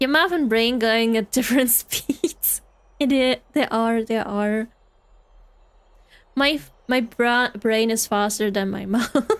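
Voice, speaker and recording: Speaking with a German accent at a very slow pace, a woman with a fairly high pitch uses ordinary pitch variation and leaves long, frequent pauses. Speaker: vtuber streamer. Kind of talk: casual chat. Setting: live stream. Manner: halting.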